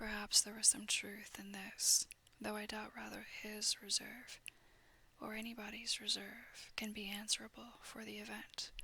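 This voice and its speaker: A soft-spoken voice at a moderate pace. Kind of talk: soft-spoken ASMR audiobook reading of a classic novel. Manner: soft-spoken, quiet.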